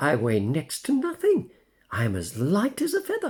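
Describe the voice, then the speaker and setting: A man's put-on character voice at a moderate pace. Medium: read story. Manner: gentle, fatherly.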